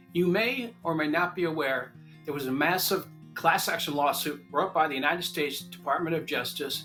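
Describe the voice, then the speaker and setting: Music in the background behind a man with an American accent, fairly high-pitched, with ordinary pitch variation and a fairly quick pace. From Long Island, New York. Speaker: real estate agent. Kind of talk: informative talk to camera.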